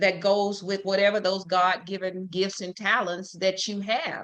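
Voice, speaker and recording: The tone is bright and sharp. It comes from a woman with a Southern US accent. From Louisiana, Shreveport. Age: 70s. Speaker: talk show host. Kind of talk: interview. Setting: live stream.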